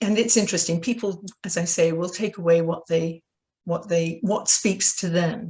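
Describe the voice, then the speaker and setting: A woman with a British accent talks at a moderate pace and a fairly low pitch. Her tone is dark, mellow and somewhat breathy, with fairly even intonation. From Britain. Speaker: author. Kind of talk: interview.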